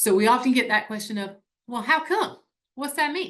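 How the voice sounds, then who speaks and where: In a South Carolina accent, a woman speaks with lively intonation at a fairly high pitch, her tone bright and sharp. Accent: upstate South Carolina. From upstate South Carolina. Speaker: nonprofit staff presenter. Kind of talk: webinar presentation. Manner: conversational, uses fillers.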